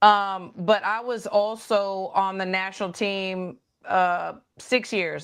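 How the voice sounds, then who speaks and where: Against a quiet background, a woman with a slight Texas accent speaks at a medium pitch with fairly even intonation. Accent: slight country Texas. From Texas, Dallas. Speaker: boxing coach. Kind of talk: interview chat. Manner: hesitant, many fillers.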